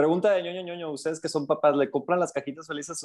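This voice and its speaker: Fairly even intonation carries the very fast pace of the speech. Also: man. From Coatzacoalcos, Veracruz, Mexico. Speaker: podcast co-host. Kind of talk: casual chat.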